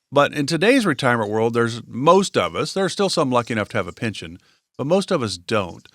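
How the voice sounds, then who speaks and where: The recording is very clean, with a silent background. A man speaks at a very fast pace with very wide pitch swings. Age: 60s. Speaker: podcast co-host. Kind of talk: casual chat.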